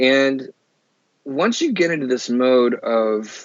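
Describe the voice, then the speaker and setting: A man with an American accent, medium-pitched, with ordinary pitch variation. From Oklahoma, rural farm town. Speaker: podcast guest, former pastor. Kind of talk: casual interview chat.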